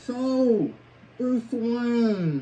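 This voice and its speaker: Putting on a character voice, a man speaks at an extremely high pitch with ordinary pitch variation. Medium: comedy sketch. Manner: portentous, deadpan villain talk.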